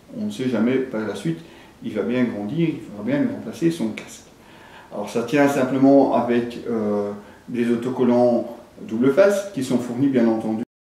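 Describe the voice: A man with a dark, mellow tone talks at a medium pitch. Strong echo fills the room around him. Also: ordinary pitch variation, moderate pace.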